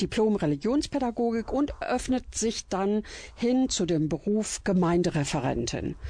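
A woman's medium-pitched voice, dark and mellow in tone, with very wide pitch swings, a fairly slow pace and a quiet background. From Germany, Iserlohn (Sauerland, Westphalia). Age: 60s. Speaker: church cabaret artist. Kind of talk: radio interview, personal storytelling.

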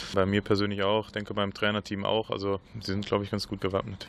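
A man talks at a very fast pace with a fairly low voice. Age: 30s. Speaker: field hockey player. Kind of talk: radio interview. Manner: halting, many repetitions.

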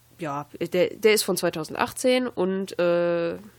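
Here is an ordinary speaking voice from a woman, fairly low in pitch with lively intonation. The recording is very clean, with a silent background. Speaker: campus radio host. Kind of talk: casual chat.

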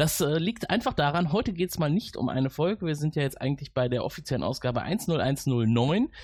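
Over a quiet background, a man talks at a fairly quick pace with hardly any pauses, his fairly high, somewhat breathy voice lively in intonation and very even in loudness. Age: 40s. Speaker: podcast host. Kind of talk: casual interview.

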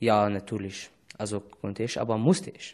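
Using an Arabic accent, a man speaks at a fairly slow pace. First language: Arabic (speaking German). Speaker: refugee. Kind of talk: casual interview. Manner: halting.

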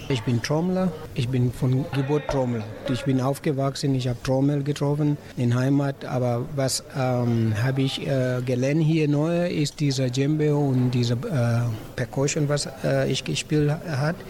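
Against noticeable background noise, a man speaks fairly slowly with very even loudness and fairly even intonation. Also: medium pitch for a man. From Senegal. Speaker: drummer. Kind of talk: interview. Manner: halting.

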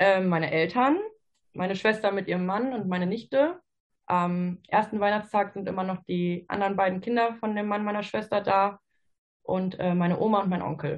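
Her plain, everyday voice sits at medium pitch, moving at a moderate pace with fairly even intonation. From Ruhr area, Germany. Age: 20s. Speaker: physiotherapy trainee. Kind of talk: casual interview chat.

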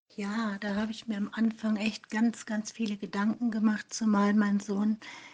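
A woman's somewhat breathy voice, fairly high in pitch, with a fairly slow pace and monotone, flat intonation. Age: 50s. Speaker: online support group administrator. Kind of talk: interview.

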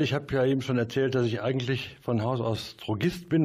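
Speech comes very fast here. There is a somewhat breathy quality to it. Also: man. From Mönchengladbach, Lower Rhine, western Germany. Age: 60s. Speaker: music promoter. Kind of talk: interview. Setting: studio.

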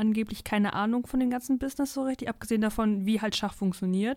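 An ordinary speaking voice at a fairly quick pace with fairly even intonation, captured in a very clean recording against a silent background. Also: woman. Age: 20s. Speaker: university student and book reviewer. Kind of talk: casual book discussion. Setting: studio.

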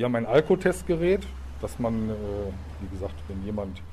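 A dark, mellow, somewhat breathy male voice. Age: 50s. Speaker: police officer. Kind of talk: interview answering children's questions. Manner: hesitant with fillers.

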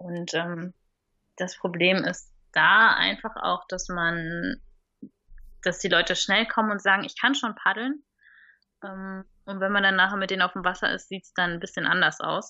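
This woman's voice sits at a medium pitch with fairly even intonation, moving at a moderate pace. Her loudness swings widely, and she takes long, frequent pauses. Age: 30s. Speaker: stand-up paddling instructor and station owner. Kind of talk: interview. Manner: hesitant, many fillers.

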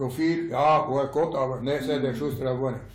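A somewhat breathy man in a space with audible room echo. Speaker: elderly local resident. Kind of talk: reminiscing storytelling.

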